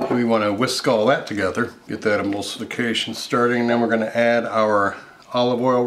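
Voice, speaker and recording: Light background noise sits behind a man speaking at a fairly quick pace with fairly even intonation. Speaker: cooking show host. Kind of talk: tutorial. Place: kitchen.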